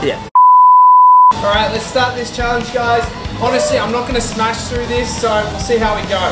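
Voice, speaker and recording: Over loud music in the background, a man speaks at a moderate pace. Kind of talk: casual vlog chat. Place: cafe.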